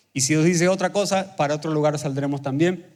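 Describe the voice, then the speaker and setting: Fairly quick and fairly high-pitched, a man talks with ordinary pitch variation. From Argentina, Buenos Aires province. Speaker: pastor. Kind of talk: sermon. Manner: fast.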